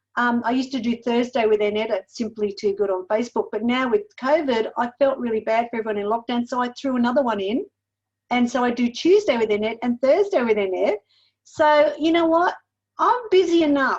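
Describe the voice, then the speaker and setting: A woman with an Australian accent speaks in a high pitch at a fairly quick pace. Her intonation is lively. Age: 60s. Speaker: weight loss mentor and cookbook author. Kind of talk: podcast interview.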